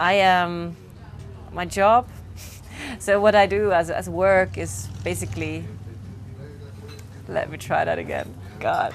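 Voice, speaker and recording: Music plays in the background as the speech moves at a very slow pace. Long, frequent pauses break it up, and the loudness swings widely. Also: woman. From Switzerland, Zurich. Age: 30s. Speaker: co-working retreat organizer. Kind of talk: interview testimony. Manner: halting, with restarts.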